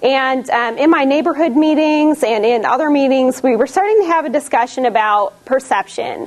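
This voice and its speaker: A woman's high-pitched voice at a moderate pace. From US Midwest, Detroit. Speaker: community volunteer. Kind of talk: class presentation. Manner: casual, with fillers.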